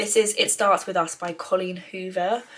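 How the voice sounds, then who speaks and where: With an English accent, a woman speaks at a moderate pace. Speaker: lifestyle vlogger. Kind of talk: casual vlog. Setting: holiday cottage.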